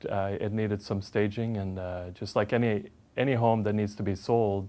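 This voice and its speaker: Speaking with a Swedish accent at a moderate pace, a man with fairly low pitch and fairly even intonation comes through in a very clean recording with a silent background. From Sweden. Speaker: home stager. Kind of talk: interview. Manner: hesitant, many fillers.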